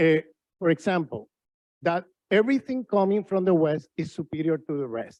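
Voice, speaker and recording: With a Spanish accent, a man talks at a moderate pace in a high pitch, leaving long, frequent pauses, the sound dry and close with no echo. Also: lively intonation. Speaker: professor. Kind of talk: panel discussion. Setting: conference with audience.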